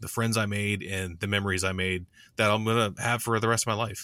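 A man talks at a fairly quick pace in an ordinary speaking voice with a fairly low pitch and fairly even intonation. The recording is very clean with a silent background and a dry, close sound with no echo. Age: 30s. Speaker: scale model hobbyist podcaster. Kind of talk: casual chat.

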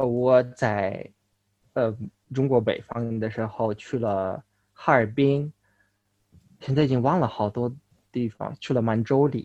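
Long, frequent pauses mark this man's very slow pace. His pitch is medium, and his intonation fairly even. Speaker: Chinese learner. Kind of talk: interview. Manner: halting.

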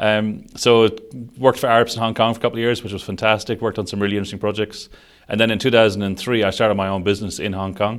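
On a very clean recording with a silent background, a man with an Irish accent speaks at a very fast pace, with a fairly low pitch and fairly even intonation. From Ireland, Sligo (west coast). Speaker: construction digital delivery director. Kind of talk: interview.

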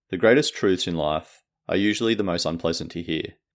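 A man's very deep, low voice with an Australian accent and ordinary pitch variation, on a very clean recording with a silent background. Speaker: podcast host, book summarizer. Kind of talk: book summary narration.

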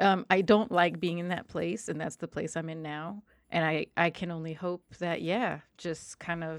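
In a very clean recording with a silent background, a woman with an American accent and a normal speaking voice talks at a fairly low pitch and a fairly slow pace with ordinary pitch variation. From New Jersey, US. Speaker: tabletop game master. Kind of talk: casual chat.

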